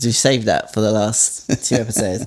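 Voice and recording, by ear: A man's fairly low voice with a slightly mellow tone, ordinary pitch variation and a moderate pace.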